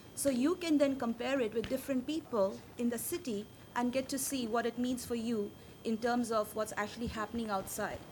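A woman of high pitch at a fairly quick pace. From India. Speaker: social platform founder. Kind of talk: conference talk. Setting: stage with audience. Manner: fast.

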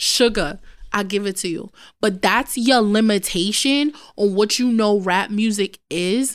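On a very clean recording with a silent background, a woman with a New York accent speaks at a fairly slow pace, her fairly high voice marked by lively intonation. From New York City, Brooklyn. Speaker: podcast co-host. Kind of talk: casual chat. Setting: studio.

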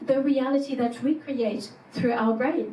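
A woman with a French accent and a high pitch, speaking at a fairly slow pace over noticeable background noise. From France. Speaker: psychologist and executive coach. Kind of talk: conference keynote talk. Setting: stage with audience.

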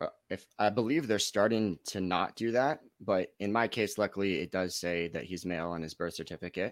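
A man with an American accent talks in a plain, everyday voice at a fairly quick pace, his pitch fairly low with ordinary variation and hardly any pauses, on a very clean recording with a silent background and a dry, close sound with no echo. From Los Gatos, California. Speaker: father in custody dispute. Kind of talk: interview.

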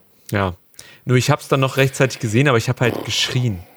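A man of medium pitch talks at a very fast pace. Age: 30s. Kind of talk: casual chat.

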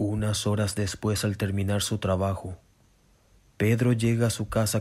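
With little pitch movement, a man talks at a moderate pace in a fairly low pitch and a slightly mellow tone.

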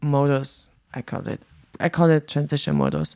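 With a German accent, a woman talks at a moderate pace. Her voice is very deep and low, with a dark, mellow tone. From East Germany. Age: 40s. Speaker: DJ. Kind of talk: interview.

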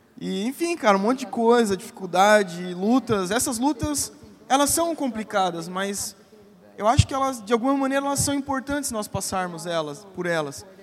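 Over noticeable background noise, a man with a high pitch and lively intonation speaks at a moderate pace. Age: 30s. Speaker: pastor. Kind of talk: conference panel talk. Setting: stage with audience.

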